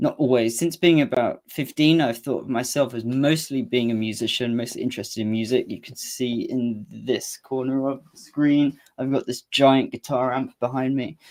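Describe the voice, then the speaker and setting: In an East Anglian accent, the speaker delivers fairly even intonation with hardly any pauses on a very clean recording with a silent background. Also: man, medium pitch for a man, moderate pace. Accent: Cambridge English. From England, Cambridge. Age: 20s. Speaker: musician and channel owner. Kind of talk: solo livestream talk. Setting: home livestream with guitar amp. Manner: hesitant, with fillers and restarts.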